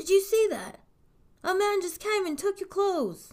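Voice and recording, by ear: In a put-on character voice, the speaker moves at a fairly slow pace with big pitch swings. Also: woman, extremely high pitch for a woman.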